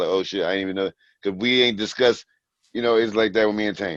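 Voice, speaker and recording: Here a man talks with an American accent and a fairly low pitch. The background is quiet. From New Jersey. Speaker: rapper. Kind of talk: casual interview.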